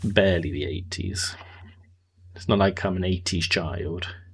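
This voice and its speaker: This man's voice is very deep and low. There is a somewhat breathy quality to it. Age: 30s. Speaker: video game streamer. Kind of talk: live gameplay stream chat.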